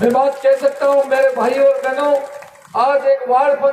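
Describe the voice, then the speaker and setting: A man with an extremely high pitch and monotone, flat intonation, with audible room echo and noticeable background noise. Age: 60s. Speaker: politician. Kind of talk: political speech.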